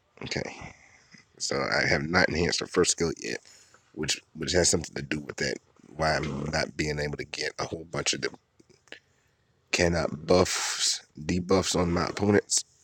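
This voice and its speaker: With a very deep, low pitch, a man speaks quietly at a moderate pace with fairly even intonation and long, frequent pauses, in a dry, close sound with no echo. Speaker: gaming video creator. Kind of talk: game commentary. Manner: quiet, low voice.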